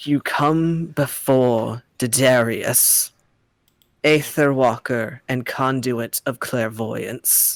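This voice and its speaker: Using a put-on character voice, a man booms out his lines at a very slow pace with a medium pitch. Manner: commanding, grandiose.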